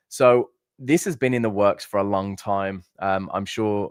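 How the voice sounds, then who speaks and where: A Birmingham accent with fairly even intonation in a very clean recording with a silent background. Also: man. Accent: Brummie. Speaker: trading platform livestream host. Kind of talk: live stream presentation. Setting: live stream. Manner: casual, with fillers and false starts.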